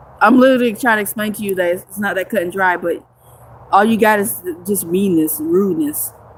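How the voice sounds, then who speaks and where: A woman with a normal speaking voice talks at a fairly quick pace. Her pitch is medium, with ordinary variation. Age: 30s. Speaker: homeless livestreamer. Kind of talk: livestream chat with viewers. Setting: outdoors in the woods.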